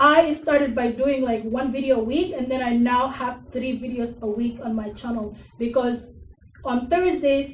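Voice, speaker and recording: The speaker has an Arabic accent and a moderate pace. Room echo is audible, along with noticeable background noise. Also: woman, high pitch for a woman, fairly even intonation. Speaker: digital marketing consultant and workshop speaker. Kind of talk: workshop presentation. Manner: casual, with fillers.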